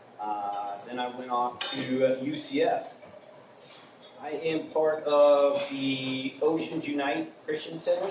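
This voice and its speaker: Over noticeable background noise and an audible room echo, a man with an American accent speaks at a fairly slow pace. His pitch is fairly high, with ordinary pitch variation. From Florida, Vero Beach. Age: 30s. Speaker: new member of an organization, former radio host. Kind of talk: self-introduction talk. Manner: hesitant, many fillers.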